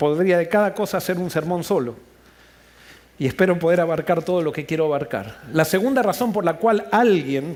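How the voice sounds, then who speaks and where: A man's voice, high in pitch, with ordinary variation in pitch. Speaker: pastor. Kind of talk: sermon. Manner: fast.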